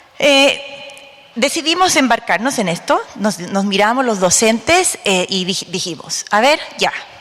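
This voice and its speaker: Noticeable background noise sits behind a woman speaking at a fairly slow pace. Her fairly high voice moves in very wide pitch swings. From Bolivia. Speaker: special education academic. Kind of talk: conference talk.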